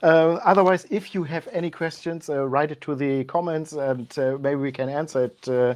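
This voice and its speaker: A woman with a very deep, low voice and a German accent, at a moderate pace with hardly any pauses. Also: ordinary pitch variation. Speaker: channel host. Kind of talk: live tasting chat. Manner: halting.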